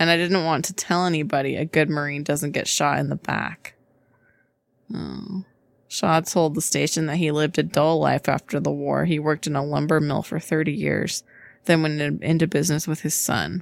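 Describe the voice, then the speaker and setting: A woman speaks softly at a moderate pace. Her pitch is very deep and low, with vocal fry. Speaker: podcast co-host. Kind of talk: casual chat. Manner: soft-spoken.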